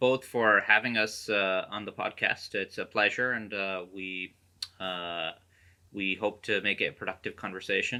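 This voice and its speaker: A man with an American accent, bright and sharp in tone, at a fairly slow pace. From United States. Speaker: career coach and author. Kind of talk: podcast interview. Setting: video call. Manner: hesitant, many fillers.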